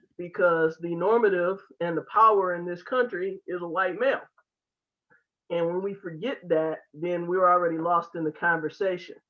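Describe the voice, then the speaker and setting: A woman speaks at a moderate pace with fairly even intonation. Hers is a normal speaking voice, fairly low in pitch. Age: 50s. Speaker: Q&A participant, cultural competency trainer. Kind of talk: online discussion comment.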